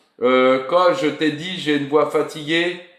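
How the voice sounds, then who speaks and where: There is audible room echo around this recording. A man speaks at a fairly slow pace. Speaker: football YouTube live host. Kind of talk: casual live stream chat. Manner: animated.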